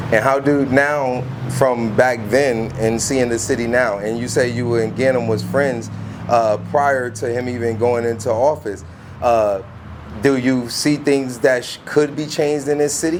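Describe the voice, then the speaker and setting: Medium-pitched male voice, fairly slow and fairly even in intonation, with audible room echo and noticeable background noise. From Bridgeport, Connecticut. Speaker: street interviewer and video host. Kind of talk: street interview.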